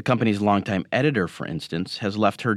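In a very clean recording with a silent background and a dry, close sound with no echo, a man with an American accent speaks at a fairly quick pace and a fairly low pitch. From Michigan. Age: 40s. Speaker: newspaper columnist. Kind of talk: scripted narration.

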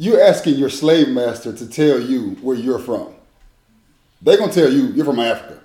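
A man talks at a moderate pace. There is audible echo in the room. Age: 30s. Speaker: former college athlete. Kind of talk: casual chat.

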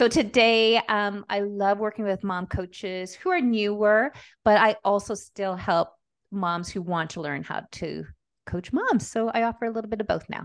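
In a Canadian accent, a woman with a plain, everyday voice talks at a moderate pace and medium pitch, with ordinary pitch variation, against a quiet background. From Montreal, Quebec. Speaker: business coach. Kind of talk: interview conversation.

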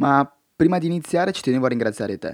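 This man talks at a very fast pace with fairly high pitch and lively intonation. The recording is very clean, with a silent background and a dry, close sound with no echo. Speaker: podcaster. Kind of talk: monologue podcast. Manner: direct.

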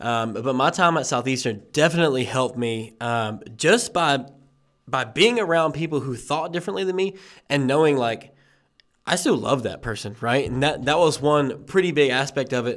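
With an ordinary speaking voice, a man talks at a moderate pace, his pitch fairly high and his intonation lively, on a very clean recording with a silent background. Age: young. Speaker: podcast host. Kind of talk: casual chat.

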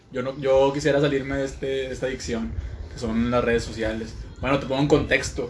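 Audible room echo surrounds a man who talks at a fairly quick pace in a monotone, flat delivery. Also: medium pitch for a man. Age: 20s. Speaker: podcast co-host. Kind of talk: casual chat.

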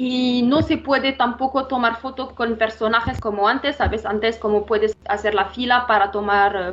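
Her pitch sits fairly high, and this woman has ordinary pitch variation. She talks at a fairly slow pace. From Morocco. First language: not Spanish (Moroccan, studied in France) (speaking Spanish). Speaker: revenue management analyst. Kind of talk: interview. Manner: halting, many fillers.

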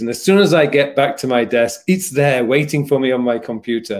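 A Yorkshire accent at a moderate pace, with ordinary pitch variation. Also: man. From Yorkshire, England. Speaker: productivity coach and YouTuber. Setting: live stream, video call.

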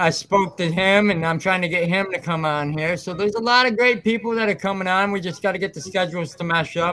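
This man speaks very fast in a raised, projected voice with an American accent, pitched high and with hardly any pauses. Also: ordinary pitch variation. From West Michigan. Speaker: podcast host. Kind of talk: casual chat.

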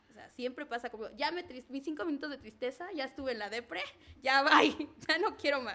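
Raised and projected, a woman's bright, sharp voice runs high in pitch at a fairly quick pace, with lively intonation and big swings in loudness. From Mexico, Zacatelco, Tlaxcala. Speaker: entrepreneur, pole dance instructor. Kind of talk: casual interview.

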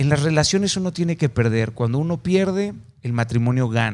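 This man speaks at a fairly quick pace in a normal speaking voice. His pitch varies in an ordinary way. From Mexico, Mazatlán, Sinaloa. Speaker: podcast host. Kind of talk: interview.

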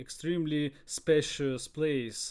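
Speaking with a Russian accent, a man talks at a very slow pace. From Russia, Sverdlovsk region. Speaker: podcast co-host. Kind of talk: casual chat. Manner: halting.

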